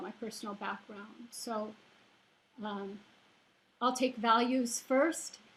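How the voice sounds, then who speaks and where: This woman has a fairly high pitch and a non-native accent. She speaks at a fairly slow pace with fairly even intonation. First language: not English. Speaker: college professor. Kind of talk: panel discussion. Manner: hesitant, with many fillers.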